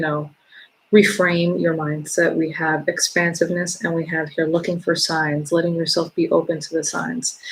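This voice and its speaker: The woman's voice is fairly low and somewhat breathy. She speaks at a moderate pace with monotone, flat intonation. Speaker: tarot reader and spiritual coach. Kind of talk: tarot reading. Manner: low, relaxed tones; hesitant, many fillers.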